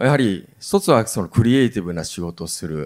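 A man's fairly low voice at a fairly quick pace, with very wide pitch swings, on a very clean recording with a silent background. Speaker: company executive moderating a talk. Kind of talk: panel talk.

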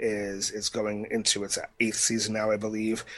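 A man speaks at a moderate pace in an ordinary speaking voice. His pitch sits in the medium range, and the background is quiet. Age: 40s. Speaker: podcast co-host, amateur historian and musician. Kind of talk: casual chat.

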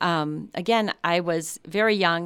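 A woman with an American accent, a plain, everyday voice, fairly low pitch and ordinary pitch variation, on a very clean recording with a silent background. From US Midwest, Chicago. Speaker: psychology professor. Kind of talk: interview. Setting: studio.

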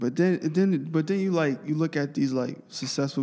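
At a moderate pace, a man with a New York accent talks in a dark, mellow tone with lively intonation. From Brooklyn, New York City. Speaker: podcast host. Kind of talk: casual chat. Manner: halting.

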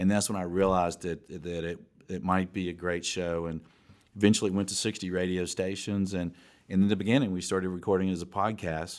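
Recorded very cleanly against a silent background, a man with an American accent speaks fairly quickly in a very deep, low voice with monotone, flat intonation. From US South, Atlanta. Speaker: commercial real estate executive and podcast host. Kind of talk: interview.

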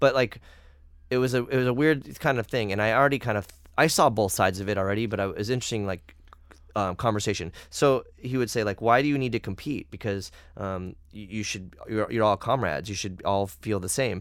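A man's fairly low, fairly quick delivery in an ordinary speaking voice, with ordinary pitch variation, on a very clean recording with a silent background. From United States. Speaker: podcast host and musician. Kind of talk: casual chat.

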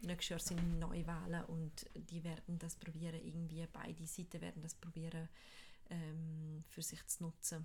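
A woman speaks fairly slowly in a somewhat breathy, flat monotone at a fairly low pitch. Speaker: podcast co-host. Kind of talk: casual chat.

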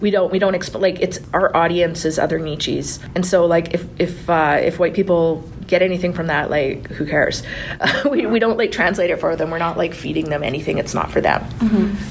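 A woman with a Canadian accent talks at a fairly quick pace, her pitch fairly low with ordinary variation. Noticeable background noise runs behind her. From Lac Sainte Anne, Alberta, Canada. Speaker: podcast co-host and master's student. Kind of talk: casual interview chat.

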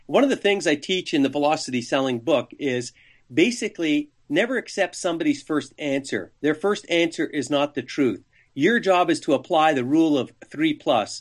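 Against a quiet background, a man talks in a normal speaking voice at a moderate pace. His pitch is fairly high, with lively intonation. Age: 60s. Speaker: sales trainer and author. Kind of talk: interview.

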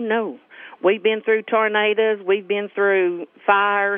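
The speaker is a woman. She talks with a Southern US accent. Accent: rural Southern US. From US South, central Arkansas. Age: 50s. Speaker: local resident. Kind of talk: interview.

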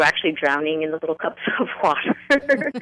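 With a New York accent, a woman speaks at a moderate pace in a dry, close recording with no echo. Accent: New York area American. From northern New Jersey, US. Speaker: author. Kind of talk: interview.

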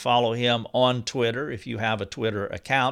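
In a very clean recording with a silent background, a man speaks at medium pitch and a moderate pace in a bright, sharp tone. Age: 50s. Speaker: podcast host. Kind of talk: interview; scripted narration. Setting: office.

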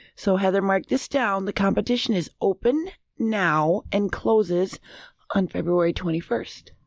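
A woman with an American accent, medium pitch, lively intonation, a fairly slow pace and very even loudness. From US Upper Midwest, Minnesota. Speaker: quiz show panelist. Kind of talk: reading news stories aloud.

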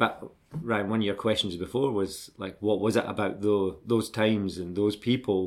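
In a very clean recording with a silent background, a man with a Scottish accent speaks at a fairly low pitch. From Scotland, Glasgow and Dundee. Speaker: BMX brand manager, former pro BMX rider. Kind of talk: interview, life story.

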